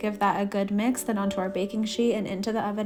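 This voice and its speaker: A woman talks very fast at a medium pitch in an upbeat tone. Music plays in the background. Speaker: cooking vlogger, mom. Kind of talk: voice-over cooking tutorial.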